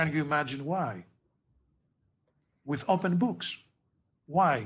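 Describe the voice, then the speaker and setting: Drawing out his words at a very slow pace with long, frequent pauses, a man with a fairly high pitch and vocal fry swings his pitch very widely. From Greece. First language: Greek. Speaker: physics tutor. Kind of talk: tutoring session.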